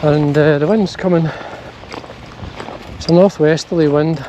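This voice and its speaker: A man with a Scottish accent talks at a fairly high pitch, with noticeable background noise behind him. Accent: Scottish (Ayrshire). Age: 60s. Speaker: fly fishing vlogger. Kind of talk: casual outdoor vlog narration. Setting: outdoors, hills.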